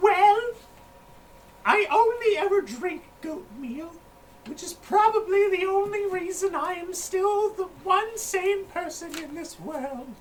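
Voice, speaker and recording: A female-sounding, put-on character voice sits at an extremely high pitch. It moves at a fairly slow pace. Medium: actual play. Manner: folksy, rambling.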